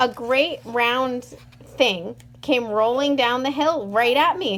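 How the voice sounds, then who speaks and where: A woman puts on a character voice, pitched high and delivered at a fairly slow pace. Background noise is clearly audible. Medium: read story.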